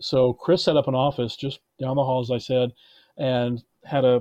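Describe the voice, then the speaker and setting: At a moderate pace, a man with an unremarkable speaking voice and medium pitch talks with fairly even intonation. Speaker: film producer. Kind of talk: casual interview. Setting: remote call.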